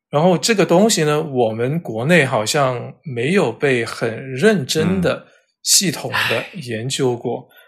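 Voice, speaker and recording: Somewhat breathy and fairly high in pitch, a man speaks at a very slow pace. His intonation is lively. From southern China, Cantonese-speaking area. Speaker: editor and character encoding expert. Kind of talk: interview. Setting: remote recording.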